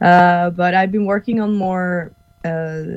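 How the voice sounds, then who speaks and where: A woman speaks with a Norwegian accent at a fairly low pitch. Her pace is very slow. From Norway. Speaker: actress and stuntwoman. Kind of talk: casual interview chat. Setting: video call from Norway.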